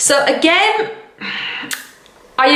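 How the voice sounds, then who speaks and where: A woman with lively intonation, amid audible room echo and noticeable background noise. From England. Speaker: vlogger and English teacher. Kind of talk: casual vlog talk to camera. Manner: casual, conversational.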